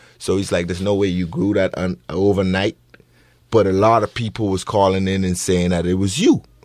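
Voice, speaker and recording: A man speaks with a Bahamian accent. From Bahamas. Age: 30s. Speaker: bereaved father. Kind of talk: radio interview. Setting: radio studio.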